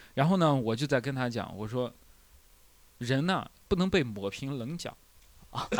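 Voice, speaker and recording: A man with an unremarkable speaking voice at a medium pitch talks at a fairly slow pace, his intonation lively and his loudness swinging widely. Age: 20s. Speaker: stand-up comedian and podcast host. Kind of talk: casual chat. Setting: live recording with small audience.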